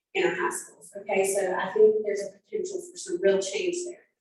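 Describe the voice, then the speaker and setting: A woman with an American accent talks at a very fast pace. Music plays in the background. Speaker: community coalition coordinator. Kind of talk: community meeting presentation. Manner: animated.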